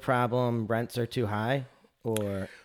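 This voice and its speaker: This man has an American accent and a medium pitch, delivered in a monotone, flat intonation. The recording is very clean, with a silent background. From Northern Michigan. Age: 30s. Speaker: podcast host. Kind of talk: interview.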